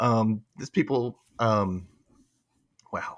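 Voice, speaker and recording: The sound is dry and close with no echo, on a very clean recording with a silent background. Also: man. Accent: Southern US. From Memphis, Tennessee. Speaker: podcast host. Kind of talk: casual panel chat.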